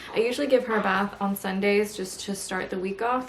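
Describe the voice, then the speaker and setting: A woman's medium-pitched, fairly quick delivery in a monotone, flat intonation over noticeable background noise. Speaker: lifestyle vlogger. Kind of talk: casual vlog talk. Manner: speaking quietly.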